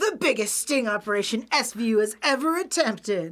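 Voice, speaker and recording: A put-on character voice, female-sounding and fairly high-pitched, in a dramatic tone at a fairly quick pace. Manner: dramatic announcer delivery.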